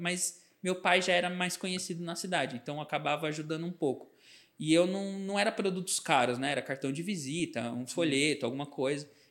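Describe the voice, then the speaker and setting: A man speaks in a high voice. His pitch moves in an ordinary way. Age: 30s. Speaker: advertising and branding agency founder. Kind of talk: podcast interview.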